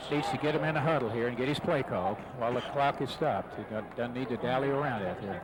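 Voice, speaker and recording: Over noticeable background noise, a man talks very fast with hardly any pauses, at a medium pitch with ordinary pitch variation. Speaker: radio color commentator. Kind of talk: radio color commentary.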